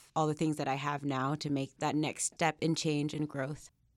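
In a Mid-Atlantic accent, a woman speaks with a very deep, low pitch and monotone, flat intonation. The recording is very clean, with a silent background. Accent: American, Mid-Atlantic. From Northern Virginia, Alexandria. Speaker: graduate student. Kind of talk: interview.

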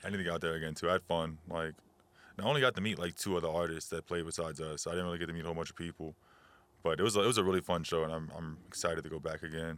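Speaking very fast, a man with a very deep, low voice keeps a fairly even intonation on a very clean recording with a silent background. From New Orleans, Louisiana. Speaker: rapper. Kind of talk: casual chat.

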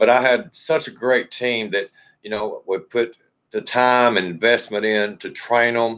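A man has an unremarkable speaking voice. His pitch is medium for a man, with fairly even intonation. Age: 50s. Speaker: hotel general manager. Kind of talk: interview.

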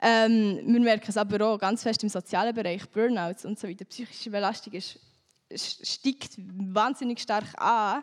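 On a very clean recording with a silent background and a dry, close sound with no echo, a woman in a plain, everyday voice speaks at a moderate pace with a fairly high pitch and fairly even intonation. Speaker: climate activist and politician. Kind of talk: panel discussion.

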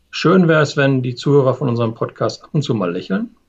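The voice is a man's, somewhat breathy. His pitch is fairly high. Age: 50s. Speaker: change management consultant, podcast co-host. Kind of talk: casual chat.

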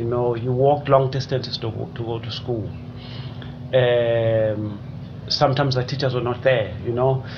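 Noticeable background noise accompanies speech delivered at a moderate speed. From South Africa, KwaZulu-Natal (Richmond). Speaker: development studies lecturer. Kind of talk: interview. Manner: halting, repeats words.

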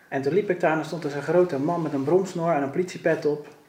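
A man races through his words at a very fast pace with fairly even intonation, noticeable background noise behind him. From Netherlands, Rotterdam. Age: 30s. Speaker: police officer and carp angler. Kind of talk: podcast interview.

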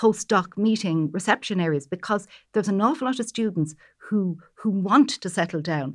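Against a quiet background, a woman with an Irish accent talks at a moderate pace with ordinary pitch variation. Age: old. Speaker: pharmacy professor, natural product chemist. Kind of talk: panel discussion.

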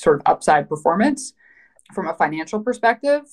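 A Western Canadian accent with ordinary pitch variation. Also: woman. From Canada, Vancouver. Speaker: private equity investor. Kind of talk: interview.

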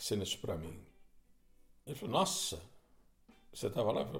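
The man's voice is somewhat breathy. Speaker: podcast host and guitarist. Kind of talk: solo storytelling monologue. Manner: conversational, with hesitations.

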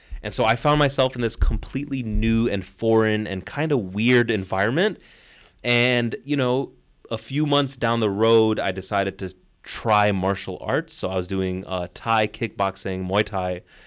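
At a moderate pace, a man with a Chicago accent speaks in a fairly low pitch with ordinary pitch variation, in a very clean recording with a silent background. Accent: Chicago American English. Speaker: rapper and English teacher. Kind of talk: casual interview. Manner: animated, profane.

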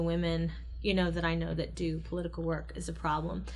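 Audible room echo surrounds the speaker. The pace is very fast, with an American accent. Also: woman. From US Midwest, Ohio. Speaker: podcast co-host, academic commentator. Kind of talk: casual political discussion.

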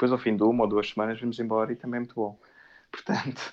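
A man speaks at a very fast pace in a medium pitch. His intonation stays monotone and flat. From Portugal, Amadora (Lisbon area). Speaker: Portuguese emigrant. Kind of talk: casual chat. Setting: audio call.

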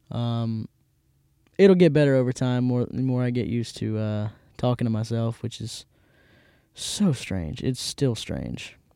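With a Mississippi accent, a man talks at a fairly slow pace in a dark, mellow tone. He takes long, frequent pauses. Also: medium pitch for a man, ordinary pitch variation. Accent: Mississippi Southern US. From US South, Hattiesburg, Mississippi. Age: 20s. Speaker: podcast host. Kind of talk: casual chat. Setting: studio.

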